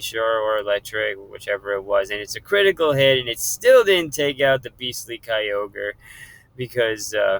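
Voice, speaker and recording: At a moderate pace, a man with medium pitch talks in a normal speaking voice, the sound dry and close with no echo. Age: 30s. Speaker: gaming youtuber. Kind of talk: game commentary.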